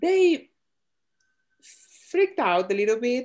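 Speaking at a fairly slow pace, a woman with an Argentine accent uses lively intonation. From Argentina. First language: Spanish. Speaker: podcast co-host. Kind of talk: casual chat.

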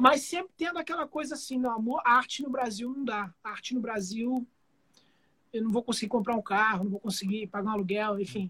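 An extremely high-pitched man's raised, projected voice, bright and sharp in tone, fairly quick, with ordinary pitch variation. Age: 40s. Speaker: guitarist and music producer. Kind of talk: casual chat.

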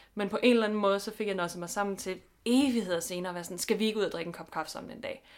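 A woman speaks at a very fast pace with ordinary pitch variation and big swings in loudness. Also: medium pitch for a woman. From Denmark, Funen. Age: 20s. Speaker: podcast co-host. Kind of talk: casual chat. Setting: home bedroom.

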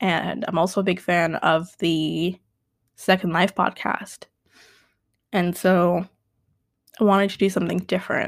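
Fairly low in pitch, a woman talks at a fairly slow pace in a monotone, flat intonation with long, frequent pauses. The recording is very clean, with a silent background. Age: 20s. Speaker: podcast host. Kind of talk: solo unedited monologue. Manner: loud; halting.

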